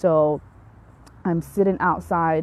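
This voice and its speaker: The voice carries a Somali accent and fairly even intonation. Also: woman. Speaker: physician. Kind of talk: live stream health talk. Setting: outdoors in backyard. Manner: hesitant, many fillers.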